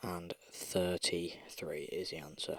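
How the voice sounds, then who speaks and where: Someone whispers at a very slow pace. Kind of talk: ASMR maths walkthrough. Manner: soft-spoken.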